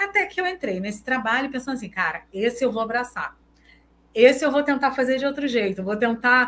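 A bright, sharp tone carries the voice. It belongs to a woman. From Brazil, Recife (Northeast). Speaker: researcher and social psychologist. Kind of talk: casual interview chat.

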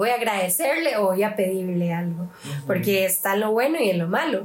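A woman talks at a moderate pace in a normal speaking voice. Her pitch sits in the medium range. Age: 20s. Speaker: youth group leader. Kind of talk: casual chat.

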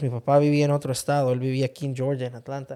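A man with a dark, mellow tone, captured in a very clean recording against a silent background. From Honduras. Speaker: host's husband, interviewee. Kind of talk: casual interview conversation.

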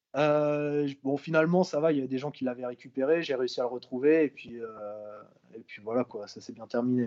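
Fairly high in pitch, this man's voice unfolds at a fairly slow pace. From Brittany, France. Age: 20s. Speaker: visually impaired traveler. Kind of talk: interview. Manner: hesitant, many fillers.

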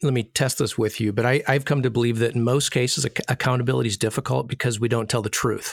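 Talking at a very fast pace, a man with an American accent keeps a medium pitch and fairly even intonation. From US Midwest, northern Michigan. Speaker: podcast co-host. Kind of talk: casual interview chat.

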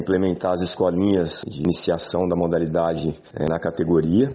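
Through noticeable background noise, a man with a very deep, low pitch talks at a moderate pace with fairly even intonation. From São Paulo state, Brazil (interior). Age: 50s. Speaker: basketball coach. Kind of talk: interview.

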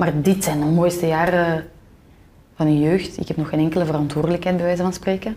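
At a fairly quick pace, a woman talks with a fairly low pitch, a dark, mellow tone and fairly even intonation. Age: 20s. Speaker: podcaster. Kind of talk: casual interview conversation.

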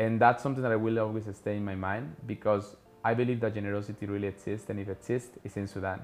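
A man with a Spanish accent, fairly low in pitch, talking at a very fast pace. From Colombia. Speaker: podcast host, traveling entrepreneur. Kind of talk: casual monologue.

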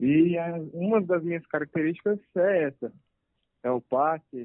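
The intonation is lively, and the delivery moves at a very slow pace. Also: man. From Brazil, Anápolis, Goiás. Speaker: professional footballer. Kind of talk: interview. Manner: calm.

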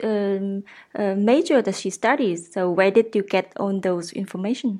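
A Vietnamese accent with ordinary pitch variation. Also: woman. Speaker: podcast host. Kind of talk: interview.

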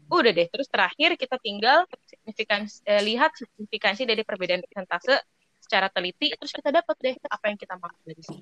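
Talking very fast, a woman with a fairly high voice swings very widely in pitch and makes big jumps in loudness. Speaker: business student. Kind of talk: peer explanation. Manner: hesitant, many fillers.

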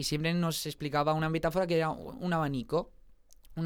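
On a very clean recording, a man's voice stands against a silent background. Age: 20s. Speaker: singer and musical theatre actor. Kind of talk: casual interview chat.

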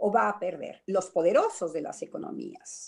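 At a moderate pace, a woman talks at a medium pitch in an ordinary speaking voice. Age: 60s. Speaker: psychoanalyst. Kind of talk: radio panel discussion.

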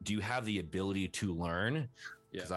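A man talks at a very fast pace. His very deep, low pitch carries ordinary variation. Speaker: online personality. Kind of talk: casual interview chat. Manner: casual, filler-heavy.

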